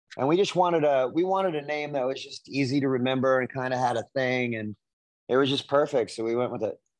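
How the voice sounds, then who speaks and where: Fairly quick and fairly high-pitched, a man speaks in a plain, everyday voice with ordinary pitch variation. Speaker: rock singer. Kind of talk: interview.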